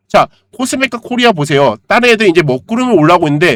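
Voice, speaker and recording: His intonation is lively, and this man speaks very fast. The sound is dry and close, without echo. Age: 40s. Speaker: stock market YouTuber, trader. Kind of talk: stock analysis lecture; sales pitch. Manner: conversational, rhetorical questions.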